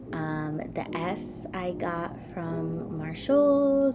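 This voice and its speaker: Audible echo from the room and noticeable background noise surround a woman as she talks. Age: 20s. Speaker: college student vlogger. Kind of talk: casual room tour vlog. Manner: casual, chatty with many fillers.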